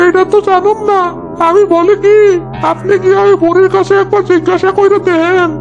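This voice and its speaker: Loud music plays in the background. A cartoonish character voice speaks at a moderate pace. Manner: deferential.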